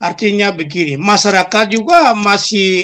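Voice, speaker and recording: This man talks in a high pitch with ordinary pitch variation. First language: Papuan local language (speaking Indonesian). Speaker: spokesman of armed separatist group. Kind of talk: interview.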